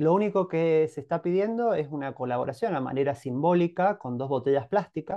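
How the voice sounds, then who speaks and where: A man talks at a fairly quick pace in an ordinary speaking voice with lively intonation. The background is quiet. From Argentina, Mendoza (Monte Comán, San Rafael); Mendoza, Argentina. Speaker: chemical engineer, cooperative member. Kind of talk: interview. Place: home room. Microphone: video call.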